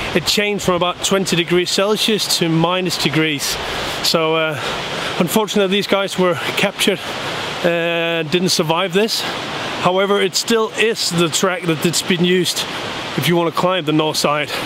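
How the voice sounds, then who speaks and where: A man speaks with long, frequent pauses. The sound is dry with no echo, over noticeable background noise. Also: moderate pace. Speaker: travel vlogger. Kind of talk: casual vlog chat. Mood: cheerful, relaxed. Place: open country. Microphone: phone near.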